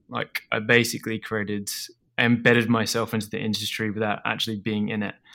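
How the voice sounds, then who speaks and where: On a very clean recording with a silent background, a man with an Australian accent speaks at a fairly quick pace, with fairly low pitch, a bright, sharp tone and monotone, flat intonation. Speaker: food business founder. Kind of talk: interview. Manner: halting, many repetitions and fillers.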